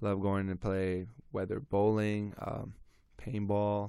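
Flat and monotone, a man's fairly low voice carries a dark, mellow tone. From Montreal, Canada. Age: 20s. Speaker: college basketball player. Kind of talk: casual interview chat. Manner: halting, many fillers.

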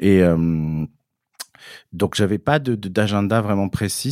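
A man of fairly low pitch at a fairly slow pace, on a very clean recording with a silent background. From southern France (Cévennes, Gard). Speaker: fashion publicist. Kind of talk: interview conversation. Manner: halting, many repetitions.

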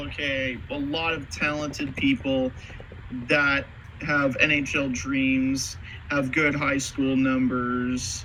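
There is noticeable background noise behind this man. He speaks very slowly at a fairly high pitch. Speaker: podcast host. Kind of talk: casual sports podcast discussion.

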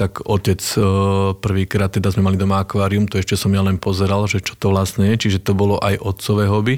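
A man talks at a very fast pace with a western Slovak accent. His pitch is fairly low. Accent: Trnava-region Slovak, harder. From western Slovakia, Nové Mesto nad Váhom. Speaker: regional director in financial services. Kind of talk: casual interview. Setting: studio.

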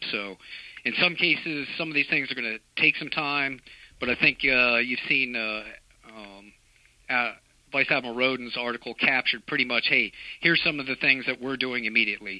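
This man has an unremarkable speaking voice, medium in pitch with ordinary pitch variation, delivered at a moderate pace. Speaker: navy fleet master chief. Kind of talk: interview discussion.

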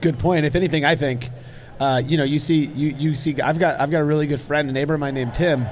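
Talking at a very fast pace, a man keeps a fairly high pitch and very even loudness. Noticeable background noise is present. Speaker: homebrewing blogger and guest. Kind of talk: casual interview chat. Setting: live on convention floor.

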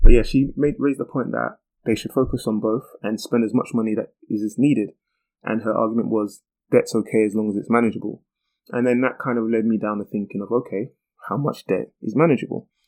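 Against a quiet background, a man talks at a medium pitch with fairly even intonation. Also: fairly quick pace. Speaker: podcast host. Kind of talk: solo explainer monologue. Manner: casual, frequent um fillers.

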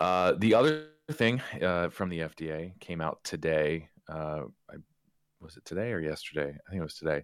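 Speaking at a moderate pace, a man with a very deep, low pitch shows ordinary pitch variation and big swings in loudness. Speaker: vaping advocacy policy update presenter. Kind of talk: remote policy update interview. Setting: remote call. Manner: hesitant, many fillers.

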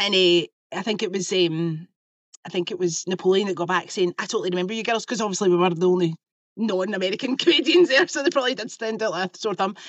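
Talking very fast, a woman in a Lanarkshire accent uses a medium pitch and ordinary pitch variation. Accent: Scottish (Lanarkshire). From Scotland, Lanarkshire. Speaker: choreographer and podcast host. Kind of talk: casual chat. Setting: video call.

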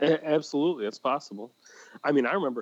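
A man with an unremarkable speaking voice, fairly high in pitch, talks fairly quickly with lively intonation. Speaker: cigar podcast co-host. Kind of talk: casual chat.

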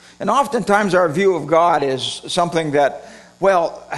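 A man with an American accent and a high pitch. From Redding, California. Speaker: preacher. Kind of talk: sermon. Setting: church with congregation.

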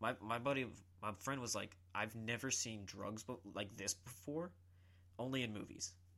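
A man's medium-pitched voice with an American accent, bright and sharp in tone, at a moderate pace with ordinary pitch variation and long, frequent pauses. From South Carolina, Columbia. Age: 20s. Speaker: jiu-jitsu practitioner. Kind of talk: casual chat.

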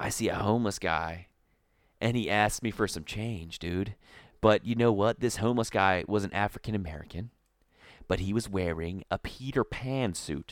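Here a man with an ordinary speaking voice and fairly low pitch speaks at a moderate pace in a very clean recording with a silent background and a dry, close sound with no echo. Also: ordinary pitch variation. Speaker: podcast co-host. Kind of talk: casual banter, comedy podcast. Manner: joking, bantering, interrupts often.

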